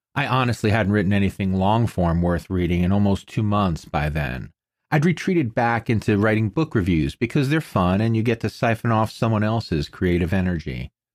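With an unremarkable speaking voice pitched fairly low, a man talks at a fairly quick pace with lively intonation, very even loudness and hardly any pauses, on a very clean recording with a silent background. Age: 50s. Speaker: podcast host and writer. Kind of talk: personal essay monologue.

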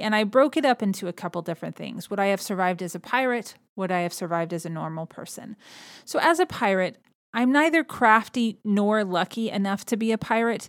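A woman in an American accent with an unremarkable speaking voice, fairly quick in pace and lively in intonation. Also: very clean recording, silent background. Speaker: podcast host. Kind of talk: casual solo podcast narration.

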